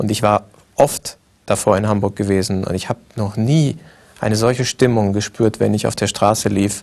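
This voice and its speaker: A man speaks in a normal speaking voice with a fairly low pitch. His pace is moderate and his intonation fairly even. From Libya and Egypt (Tripoli, Cairo). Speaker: film director. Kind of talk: interview.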